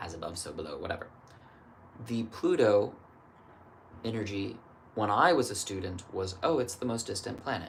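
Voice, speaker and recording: A man's medium-pitched voice with lively intonation, long, frequent pauses, and noticeable background noise. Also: moderate pace. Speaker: astrologer. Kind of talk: solo astrology reading, casual monologue. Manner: thinking aloud, casual.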